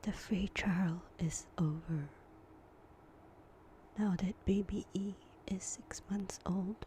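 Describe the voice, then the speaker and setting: A woman whispers very slowly, pausing often and at length. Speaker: stay-at-home mom. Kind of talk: ASMR whispered chit-chat. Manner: whispered; soft-spoken, slow.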